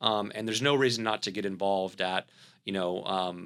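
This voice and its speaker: This man's voice sits at a fairly low pitch, with a bright, sharp tone. He talks at a fairly quick pace. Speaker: company CEO. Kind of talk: podcast interview. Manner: halting, many fillers.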